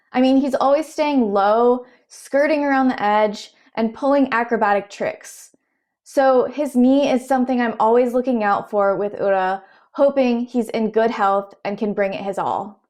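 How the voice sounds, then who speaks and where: A woman with a Southern US accent, high-pitched, moderate in pace, with ordinary pitch variation and a quiet background. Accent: Southern American. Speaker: sumo commentator. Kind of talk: explainer narration.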